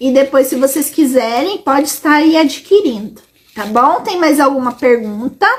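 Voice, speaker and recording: Her voice sits high in pitch. This woman talks at a middling speed. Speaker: educational psychologist. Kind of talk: live stream Q&A. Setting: live stream on social media.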